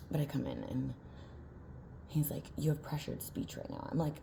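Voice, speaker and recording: The speech is very fast, and room echo is audible. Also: woman. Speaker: vlogger. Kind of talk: casual vlog monologue. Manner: halting, many filler words.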